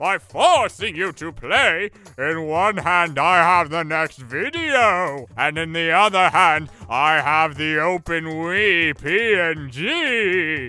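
A man's high-pitched voice, theatrical and menacing in tone, at a very slow pace. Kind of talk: comic overacting. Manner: indignant, theatrical, mock-menacing.

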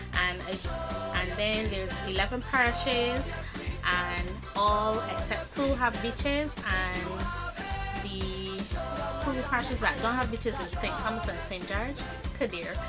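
Loud music fills the background as a woman speaks with a Barbadian accent. Her pace is fairly slow, with long, frequent pauses. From Barbados. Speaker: vlogger. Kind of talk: casual talk to camera. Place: home room. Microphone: webcam.

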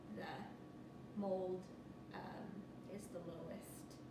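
The voice sounds through audible room echo and loud background noise. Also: woman. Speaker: person telling her own story. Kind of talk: interview answer. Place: home room. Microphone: camera far.

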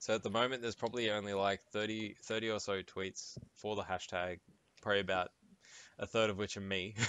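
Fairly quick, monotone delivery with flat intonation in an Australian accent. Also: man, fairly low pitch for a man. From Sydney, Australia. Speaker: gaming podcast co-host. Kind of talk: casual chat.

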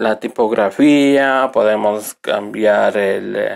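A man speaks at a medium pitch. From Ecuador, Riobamba. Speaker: computer technician. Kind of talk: software tutorial. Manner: halting, with fillers.

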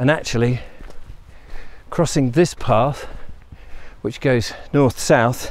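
Very slow male speech with ordinary pitch variation and a dry sound with no echo. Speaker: walking vlogger. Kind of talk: casual vlog chat. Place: open country. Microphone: phone near.

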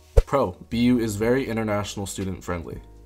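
Music plays in the background as a man talks in a fairly low pitch with ordinary pitch variation. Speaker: college student. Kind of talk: casual talk to camera.

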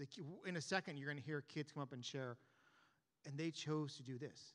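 The setting has a quiet background. A man does the talking. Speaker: youth pastor. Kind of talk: sermon. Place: church. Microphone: handheld.

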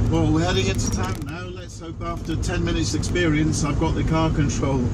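Heavy background noise surrounds a man who talks fairly quickly. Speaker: driver. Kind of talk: casual talk to camera, driving commentary. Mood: cheerful, light-hearted. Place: car. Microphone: camera far.

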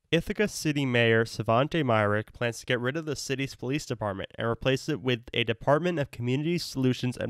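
A man with an unremarkable speaking voice, medium pitch and ordinary pitch variation, at a fairly quick pace. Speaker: student newscaster. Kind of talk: news reading. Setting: remote recording. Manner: formal; steady, brisk delivery.

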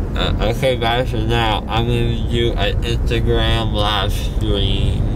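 A man at a very slow pace, dry sound with no echo, loud background noise behind him. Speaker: vlogger. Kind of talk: casual vlog chat. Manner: drowsy, slurred post-anesthesia talk. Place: car. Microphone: phone near.

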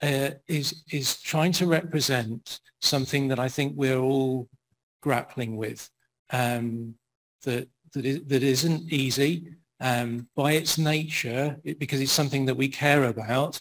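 Speaking at a fairly slow pace, a man holds a medium pitch with fairly even intonation.

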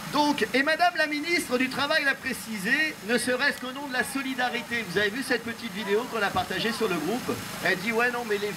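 A man speaks in a raised, projected voice over noticeable background noise. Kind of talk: protest speech reading a letter. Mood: indignant, sarcastic. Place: street. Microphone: pa.

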